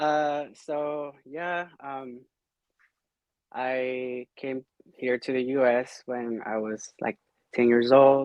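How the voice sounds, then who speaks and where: A man at medium pitch talks very slowly with fairly even intonation and long, frequent pauses, in a dry, close recording with no echo. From Mexico. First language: Spanish. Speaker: podcast guest. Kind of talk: casual chat.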